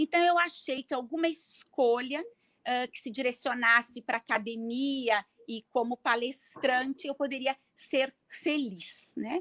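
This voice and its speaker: A woman's high-pitched voice, bright and sharp in tone, at a very slow pace with ordinary pitch variation, in a dry, close sound with no echo. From Brazil, Serra Gaúcha (Rio Grande do Sul). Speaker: pharmacist and bioethics researcher. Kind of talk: interview. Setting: live online event.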